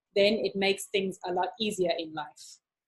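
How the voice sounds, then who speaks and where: A woman's voice comes across as somewhat breathy. She talks fairly quickly. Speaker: maths tutor. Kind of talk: online live lesson. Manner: animated.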